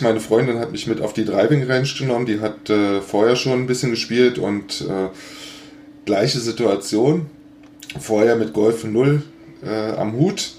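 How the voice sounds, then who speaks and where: A man talks at a moderate pace with a medium pitch and ordinary pitch variation. There is noticeable background noise. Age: 50s. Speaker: golf blogger and podcaster. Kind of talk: casual chat.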